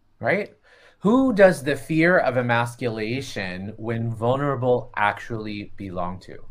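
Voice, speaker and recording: Speaking at a fairly slow pace with an American accent, a man with medium pitch and an ordinary speaking voice uses lively intonation and big swings in loudness. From Florida. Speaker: podcast co-host, healer and facilitator. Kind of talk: casual chat. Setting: video call.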